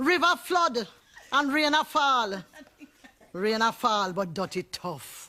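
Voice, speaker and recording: In a Jamaican accent, the speaker talks at a very slow pace, with very wide pitch swings and long, frequent pauses. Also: woman, fairly high pitch for a woman. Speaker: poet. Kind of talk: poetry reading.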